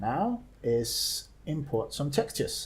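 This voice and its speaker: A man talks with a somewhat breathy quality. His pitch sits fairly high. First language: not English. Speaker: game modder. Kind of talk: screen-recorded software tutorial. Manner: hesitant, many filler sounds.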